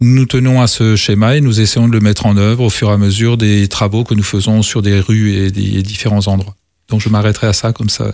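Fairly low in pitch, a man speaks in a monotone, flat intonation at very even loudness. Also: fairly quick pace. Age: 60s. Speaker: mayor and election candidate. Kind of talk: political debate.

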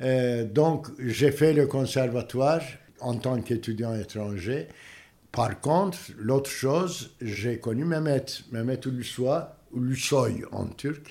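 Very slow, medium-pitched speech from a man with a Turkish accent, dark and mellow in tone, with ordinary pitch variation. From Turkey, Istanbul. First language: Turkish (speaking French). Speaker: theatre director. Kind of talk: interview. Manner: halting.

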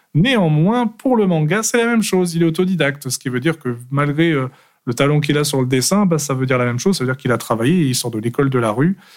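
Talking very fast with lively intonation, a man with a fairly high voice comes through on a very clean recording over a silent background. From France, Aveyron then Paris. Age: 30s. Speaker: manga author. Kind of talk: casual interview. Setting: studio.

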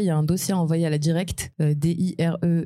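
A woman speaks in a fairly low pitch with a dark, mellow tone. Her intonation is monotone and flat. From Morocco. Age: 20s. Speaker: immigrant guest, business school graduate. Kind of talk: live podcast panel testimony. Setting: live recording before an audience.

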